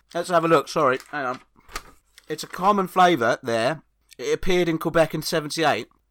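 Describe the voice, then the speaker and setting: A man with an English accent, fairly high pitch, ordinary pitch variation and a fairly quick pace. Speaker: comedian. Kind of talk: casual chat. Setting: remote recording, own microphone.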